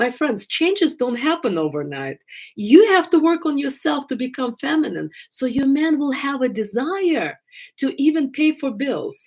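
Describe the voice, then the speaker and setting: On a very clean recording with a silent background, a woman with an Eastern European accent speaks at a high pitch and a moderate pace, her intonation lively. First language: not English. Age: 50s. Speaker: love coach. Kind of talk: live stream Q&A. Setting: live stream.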